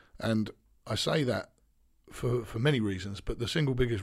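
This man's voice comes across as somewhat breathy. His words race by at a very fast pace. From eastern England. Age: 30s. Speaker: basketball coach. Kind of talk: interview.

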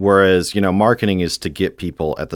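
With an American accent, a man talks in a very deep, low pitch, the sound dry and close with no echo on a very clean recording with a silent background. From Houston, Texas. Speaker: growth product manager. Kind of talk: interview. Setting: studio.

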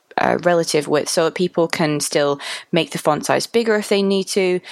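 In a Mancunian accent, a woman speaks at a fairly low pitch with ordinary pitch variation. The sound is dry and close, with no echo. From Manchester, England. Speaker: UX designer. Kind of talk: casual chat.

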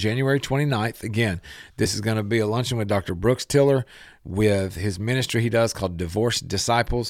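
This man has a plain, everyday voice and moves at a fairly quick pace with ordinary pitch variation. The recording is very clean, with a silent background. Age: 40s. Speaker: radio host. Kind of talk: radio talk show interview. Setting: studio.

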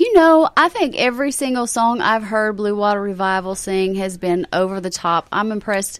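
In a Southern US accent, a woman with a warm tone and medium pitch speaks at a moderate pace, lively in intonation and with hardly any pauses. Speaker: caterer. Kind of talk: casual chat. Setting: studio.

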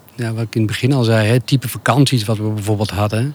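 A man talks with monotone, flat intonation. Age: 50s. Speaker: podcast guest, nudist. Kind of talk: casual interview. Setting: outdoors under an apple tree. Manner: halting, repetitive.

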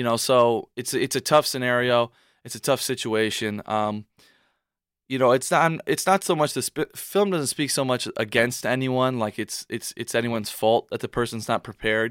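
A man speaks in an ordinary speaking voice at medium pitch, with ordinary pitch variation and a moderate pace. The recording is very clean and dry, close with no echo, over a silent background. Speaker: college athlete and aspiring filmmaker. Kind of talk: radio interview.

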